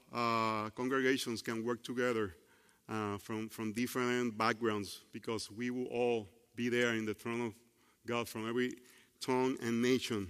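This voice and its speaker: At a moderate pace, a man with a medium pitch speaks with a Puerto Rican accent. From Puerto Rico. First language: Spanish. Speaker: preacher. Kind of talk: sermon. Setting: church. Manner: halting, with grammar slips.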